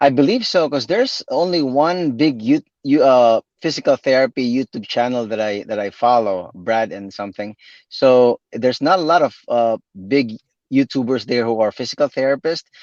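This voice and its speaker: Dry and close with no echo over a quiet background, a man with a Visayan Filipino accent speaks at a medium pitch and moderate pace with ordinary pitch variation. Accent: Filipino (Cebuano) English. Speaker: physical therapist and YouTube creator. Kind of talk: live interview. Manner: halting, many repetitions.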